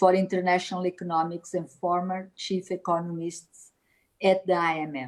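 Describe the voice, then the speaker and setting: A woman speaks at a moderate pace with a Portuguese accent, her pitch sitting in the middle range. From Portugal. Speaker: politician and event organizer. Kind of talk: formal opening speech. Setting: video call. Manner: formal.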